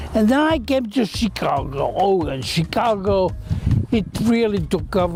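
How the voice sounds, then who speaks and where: Noticeable background noise sits under a man who speaks fairly slowly. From Belgium. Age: 70s. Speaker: visual artist. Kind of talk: interview. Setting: artist's studio. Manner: halting, with repetitions.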